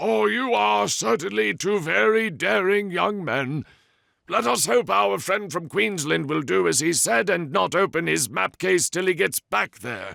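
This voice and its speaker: A put-on character voice with very wide pitch swings moves at a moderate pace in a very clean recording with a silent background. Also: man. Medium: read story. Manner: genial, dryly amused.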